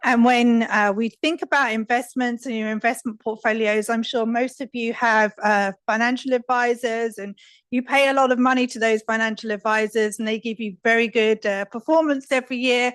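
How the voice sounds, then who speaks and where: With a British accent, the speaker goes at a moderate pace with hardly any pauses and fairly even intonation, in a dry, close sound with no echo over a quiet background. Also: woman, fairly high pitch for a woman. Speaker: risk advisory specialist. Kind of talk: conference talk. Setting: stage with audience. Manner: soft-spoken.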